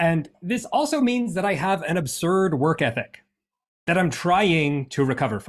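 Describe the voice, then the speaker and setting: The delivery moves at a moderate pace with lively intonation. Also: man, high pitch for a man. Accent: American. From United States. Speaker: workshop presenter. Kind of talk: interactive presentation.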